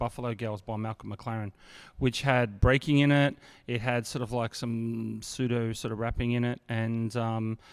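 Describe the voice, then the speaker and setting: A man talks at a moderate pace and medium pitch in a monotone, flat intonation. The recording is very clean, with a silent background. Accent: Australian. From Sydney, Australia (Bankstown/Sefton). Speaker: hip hop artist. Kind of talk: casual chat.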